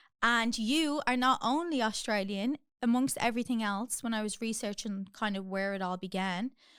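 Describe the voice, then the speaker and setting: In a very clean recording with a silent background, a woman with an Irish accent talks at a fairly high pitch with ordinary pitch variation. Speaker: podcast host. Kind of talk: podcast interview. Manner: animated.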